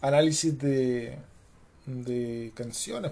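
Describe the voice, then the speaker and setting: This man has a Chilean accent. His tone is dark and mellow. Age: 30s. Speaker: podcaster. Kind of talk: casual monologue. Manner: very informal, slangy.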